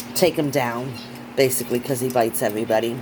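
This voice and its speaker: A woman talks at a moderate pace. Noticeable background noise is audible behind her. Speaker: hobby vlogger, pet keeper. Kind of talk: casual vlog tutorial. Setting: at home. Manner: hesitant with fillers.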